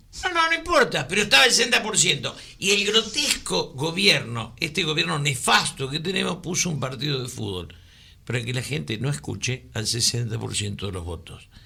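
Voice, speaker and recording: A man's fairly high voice with vocal fry, a bright, sharp tone, very wide pitch swings and a moderate pace. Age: 70s. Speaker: radio co-host, political commentator. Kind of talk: casual political chat on radio. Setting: radio studio.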